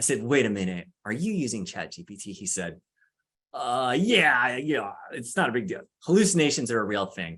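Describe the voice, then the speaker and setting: At a medium pitch, a man speaks with very wide pitch swings and big swings in loudness. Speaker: law librarian and panelist. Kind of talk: workshop presentation. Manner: fast; casual.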